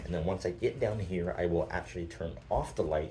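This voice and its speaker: A man speaks with audible room echo around him. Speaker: tech youtuber. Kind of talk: tutorial. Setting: indoors in an apartment. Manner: talking a little loud.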